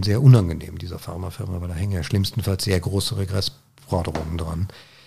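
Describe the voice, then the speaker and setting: Somewhat breathy, a man speaks at a fairly low pitch with a dark, mellow tone. His pace is fairly quick, and his pitch varies in an ordinary way. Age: 50s. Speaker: Parkinson's patient sharing experience. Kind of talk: interview conversation. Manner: halting.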